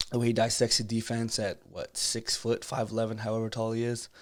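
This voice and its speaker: A man talks quietly at a fairly quick pace in a medium pitch. The recording is very clean, with a silent background. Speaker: basketball coach streamer. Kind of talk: live stream film breakdown. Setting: home live stream. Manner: quiet, holding back volume.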